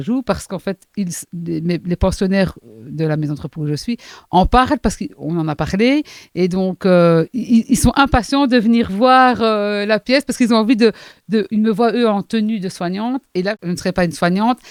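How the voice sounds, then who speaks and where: A woman with a Charleroi accent speaks at a moderate pace and medium pitch with lively intonation. The recording is very clean with a silent background, and the sound is dry and close with no echo. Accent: Charleroi Belgian accent, noticeable. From Belgium, Hainaut (Charleroi area). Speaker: playwright and actress, also care worker. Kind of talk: casual interview. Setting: studio.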